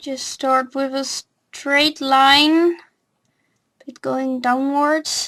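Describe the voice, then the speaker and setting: Speaking at a very slow pace, a woman with a non-native accent has a high pitch, a bright, sharp tone and monotone, flat intonation. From non-English-speaking country. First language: not English. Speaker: drawing tutorial youtuber. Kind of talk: tutorial. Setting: home recording with webcam. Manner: hesitant, many fillers.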